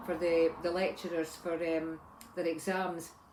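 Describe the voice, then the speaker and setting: Through noticeable background noise comes a woman with an Edinburgh accent and a fairly low pitch. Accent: Scottish (Edinburgh). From Scotland, Edinburgh. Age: 60s. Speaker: vlogger, retired lab technician. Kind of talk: casual vlog talk. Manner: halting, many fillers and restarts.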